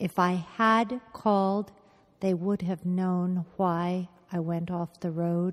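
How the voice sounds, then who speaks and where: A woman speaks at a very slow pace and medium pitch in a flat monotone, recorded with a dry, close sound and no echo. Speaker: brain injury survivor. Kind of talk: oral history interview.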